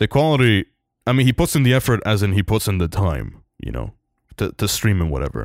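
A man speaks at a fairly quick pace and a fairly low pitch, with vocal fry and very wide pitch swings. The recording is very clean with a silent background and a dry, close sound with no echo. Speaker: podcast host. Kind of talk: casual chat. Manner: casual.

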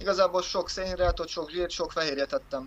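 Pitched high for a man, this speaker talks at a moderate pace. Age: 20s. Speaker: powerlifter and personal trainer. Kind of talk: casual interview.

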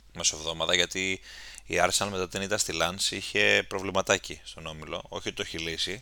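The tone is bright and sharp, delivered at a moderate pace. The recording is very clean, with a silent background. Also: man. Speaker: football podcast host. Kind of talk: casual chat.

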